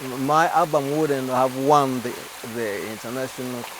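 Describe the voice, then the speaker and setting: A man with a Ugandan accent at a medium pitch and moderate pace, over noticeable background noise. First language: Luganda. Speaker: gospel singer. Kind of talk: TV interview. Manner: halting.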